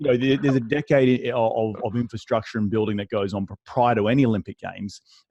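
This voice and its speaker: With an Australian accent, a man talks at a very fast pace with hardly any pauses, his dark, mellow tone caught in a dry, close sound with no echo and his pitch varying in an ordinary way. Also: medium pitch for a man. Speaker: real estate investor. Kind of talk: interview. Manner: repetitive restarts, halting.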